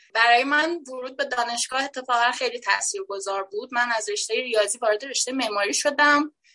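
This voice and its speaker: A woman with a high, bright, sharp voice projects it loudly at a fairly quick pace. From Iran, Shiraz. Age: 20s. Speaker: event venue founder. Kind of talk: casual chat.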